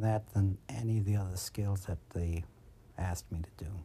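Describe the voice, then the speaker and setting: A man speaks at a moderate pace in an American accent, his tone dark and mellow and somewhat breathy. The recording is very clean, with a silent background. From Brooklyn, New York. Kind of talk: documentary interview testimony.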